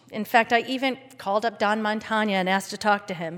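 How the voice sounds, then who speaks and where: A woman with an American accent has a normal speaking voice, fairly high in pitch, at a fairly quick pace. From Philadelphia. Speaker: congregation member and parent. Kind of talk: prepared talk at a service.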